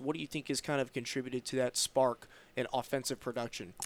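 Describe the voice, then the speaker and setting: A man with an American accent and a normal speaking voice talks fairly quickly at a fairly high pitch, recorded very cleanly against a silent background in a dry, close sound with no echo. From Roanoke, Virginia. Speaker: sports podcast host. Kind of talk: interview.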